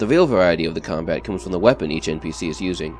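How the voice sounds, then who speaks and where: Music plays in the background as a man speaks. He goes at a very fast pace with a very deep, low pitch. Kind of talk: game tutorial narration.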